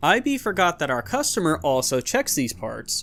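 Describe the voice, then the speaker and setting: A man at a moderate pace, fairly high in pitch, with very wide pitch swings and music in the background. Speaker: Reddit story narrator. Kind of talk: reading Reddit posts aloud.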